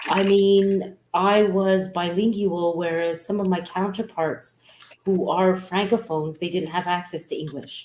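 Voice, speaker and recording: A woman speaks at a medium pitch with a Montreal accent. Her intonation is monotone and flat. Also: fairly slow pace. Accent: Montreal anglophone Canadian English. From Quebec, Montreal (English-speaking). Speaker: businesswoman. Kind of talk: interview.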